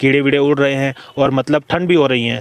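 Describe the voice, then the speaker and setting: Heard in a dry, close sound with no echo, a man of medium pitch uses an ordinary speaking voice at a moderate pace. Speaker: horror storyteller / podcast host. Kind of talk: horror story narration in podcast style, casual storytelling. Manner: conversational, engaging, suspenseful.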